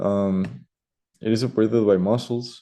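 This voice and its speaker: Speaking with a Spanish accent, a man has a dark, mellow tone. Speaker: student. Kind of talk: class presentation. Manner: hesitant, many fillers.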